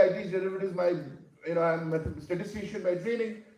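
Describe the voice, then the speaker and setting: A man speaks very fast at a high pitch. Audible room echo follows his voice. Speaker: academic keynote speaker. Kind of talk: conference keynote talk. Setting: stage with audience. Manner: halting, many fillers.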